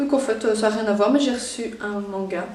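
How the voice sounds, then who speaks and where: A woman with a Belgian accent at a fairly slow pace, fairly high pitch and fairly even intonation, amid audible room echo and noticeable background noise. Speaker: YouTuber. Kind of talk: unboxing video.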